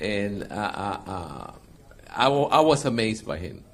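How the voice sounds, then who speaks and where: This man has an unremarkable speaking voice, pitched fairly low. His intonation is lively. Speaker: interpreter.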